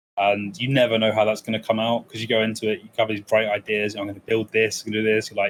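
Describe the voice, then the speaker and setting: With an English accent, a man speaks very fast at a fairly low pitch, hardly pausing, his intonation monotone and flat while his loudness swings widely. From England, East Midlands (military family, partly raised in Germany). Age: 20s. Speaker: speedrunner. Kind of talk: casual interview chat.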